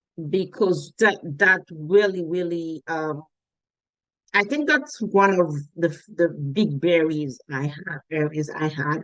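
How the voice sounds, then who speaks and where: A very slow-talking woman with a fairly low pitch and ordinary pitch variation. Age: adult, came as adult. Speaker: Caribbean immigrant interviewee. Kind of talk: interview testimony.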